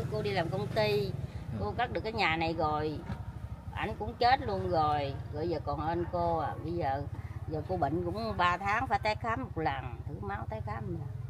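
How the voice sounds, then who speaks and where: Over noticeable background noise, a woman with a very deep, low pitch speaks at a moderate pace, her pitch swinging very widely. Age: 50s. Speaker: local resident affected by subsidence. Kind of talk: casual interview. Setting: outdoors on location. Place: home room. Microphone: phone near.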